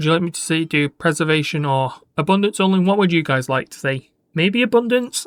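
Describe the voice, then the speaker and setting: With lively intonation and big swings in loudness, a high-pitched man talks at a fairly quick pace in a dry, close sound with no echo. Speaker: gaming YouTuber. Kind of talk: gameplay commentary. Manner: casual, halting.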